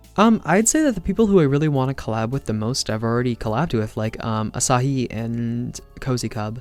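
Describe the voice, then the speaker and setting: Music plays behind a man who talks at a fairly quick pace with hardly any pauses. His pitch is medium and shows ordinary variation. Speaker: ASMR artist. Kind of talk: casual talk to camera, Q and A answers.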